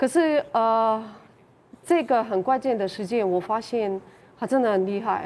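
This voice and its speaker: The speech moves at a moderate pace with ordinary pitch variation. The recording is very clean, with a silent background. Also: woman. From Ukraine. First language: Ukrainian or Russian (speaking Chinese). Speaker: Ukrainian resident of Taiwan. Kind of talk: panel interview. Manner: halting.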